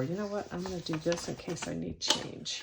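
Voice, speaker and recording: At a moderate pace, a woman with a medium-pitched voice talks over noticeable background noise. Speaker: budgeting vlogger counting cash.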